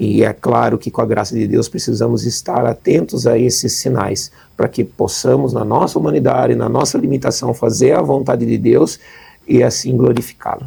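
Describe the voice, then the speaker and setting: A man speaks at a moderate pace with a São Paulo accent. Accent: São Paulo accent, kept. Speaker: charity representative. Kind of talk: interview.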